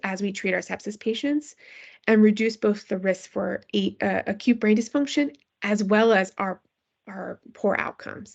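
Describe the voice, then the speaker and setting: Here a woman speaks with a fairly high pitch. Her intonation is lively. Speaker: physician researcher in pediatric critical care. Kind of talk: lecture. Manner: fast.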